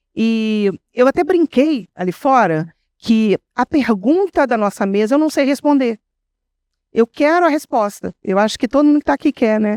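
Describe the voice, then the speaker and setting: Heard in a very clean recording with a silent background and a dry, close sound with no echo, a woman speaks at a high pitch and a moderate pace with lively intonation and very even loudness. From interior of Rio de Janeiro state, Brazil. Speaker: writer on a literary panel. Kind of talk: panel discussion.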